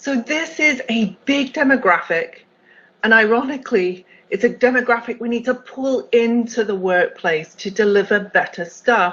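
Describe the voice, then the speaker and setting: A woman with a British accent talks at a moderate pace. Her pitch is fairly high and her intonation lively. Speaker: accessibility executive, keynote speaker. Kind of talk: conference keynote talk.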